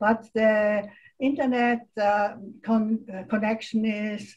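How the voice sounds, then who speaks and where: Very slow and somewhat breathy, a woman's fairly high voice holds a fairly even intonation. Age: 80s+. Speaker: meeting participant, retiree. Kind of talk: online group meeting. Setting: video call. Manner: halting.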